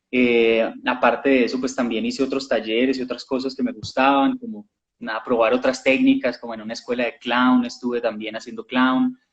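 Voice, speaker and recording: A man with a Colombian accent talks at a moderate pace, his medium pitch held in a monotone, flat intonation. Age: young. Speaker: actor. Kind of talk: interview.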